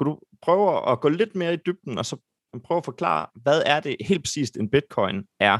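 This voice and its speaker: A man's voice with vocal fry at a moderate pace, the sound dry and close with no echo. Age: 20s. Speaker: podcast host. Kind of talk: podcast hosting. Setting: video call.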